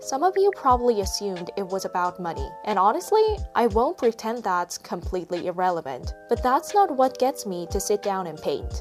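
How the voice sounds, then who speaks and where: A woman with a Korean accent at a moderate pace, hardly any pauses, and music in the background. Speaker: artist. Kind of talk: reflective vlog voiceover.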